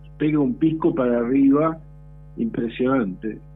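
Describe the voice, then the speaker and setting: Over music in the background, a man with a fairly high voice speaks at a fairly slow pace with ordinary pitch variation. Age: 60s. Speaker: historian and professor. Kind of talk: radio interview. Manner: talkative, many fillers.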